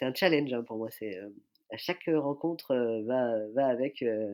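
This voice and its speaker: In a very clean recording with a silent background, a man speaks at a moderate pace with a medium pitch and ordinary pitch variation. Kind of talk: podcast interview. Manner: hesitant, many fillers.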